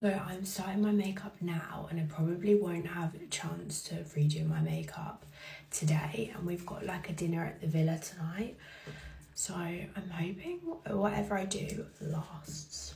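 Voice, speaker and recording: Whispering in a raspy, put-on character voice, a woman speaks at a moderate pace over light background noise. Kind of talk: casual vlog chat.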